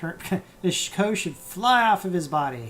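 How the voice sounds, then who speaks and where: Someone mumbles with music in the background. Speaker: animation tutorial streamer. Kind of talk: live-streamed software tutorial. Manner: mumbling, thinking aloud; halting, many fillers.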